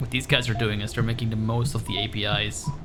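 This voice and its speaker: Music plays in the background and audible room echo is present as the speaker talks at a fairly quick pace. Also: man. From Netherlands. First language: Dutch. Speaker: blind gamer and streamer. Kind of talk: live game stream chat. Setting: echoey room. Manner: casual, frequent fillers. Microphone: echoey room.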